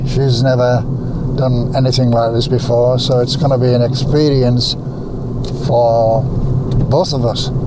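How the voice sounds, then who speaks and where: Over loud background noise, a man talks at a fairly slow pace with long, frequent pauses, in a dry sound with no echo. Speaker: wildlife photographer. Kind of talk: casual vlog talk to camera. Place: car. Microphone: phone near.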